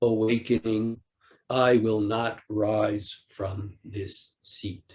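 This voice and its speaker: Speaking at a very slow pace, a man delivers his words. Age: 60s. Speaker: Zen teacher. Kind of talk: dharma talk. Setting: online retreat.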